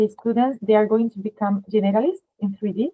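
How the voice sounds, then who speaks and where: Fairly high-pitched woman with a strong Spanish accent and fairly even intonation. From Spain. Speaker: art school advisor. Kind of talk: webinar presentation.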